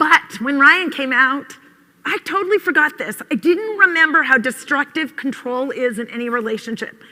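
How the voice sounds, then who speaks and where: Raising and projecting her high-pitched voice, a woman speaks at a moderate pace with lively intonation and big swings in loudness. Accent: American. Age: 50s. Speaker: conference speaker, mother. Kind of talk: conference talk.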